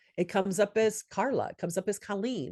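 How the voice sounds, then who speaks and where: Fairly quick and medium in pitch, a woman speaks in a normal speaking voice. The sound is dry and close with no echo, over a quiet background. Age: 60s. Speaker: SMS marketing business consultant. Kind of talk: workshop Q&A.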